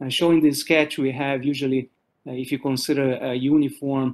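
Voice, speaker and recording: A man with a Portuguese accent at a moderate pace, medium in pitch, with monotone, flat intonation. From Brazil. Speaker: professor. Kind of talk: lecture. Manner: halting.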